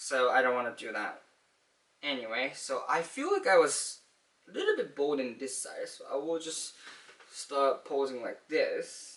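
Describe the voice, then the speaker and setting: Talking at a fairly slow pace, a man shows big swings in loudness. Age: 20s. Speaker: vlogger. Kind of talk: casual monologue. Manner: halting.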